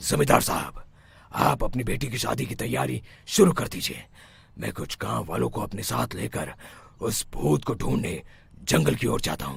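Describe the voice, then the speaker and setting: Using a cartoonish character voice, a man speaks at a moderate pace with a very deep, low pitch and very wide pitch swings. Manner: authoritative, grave.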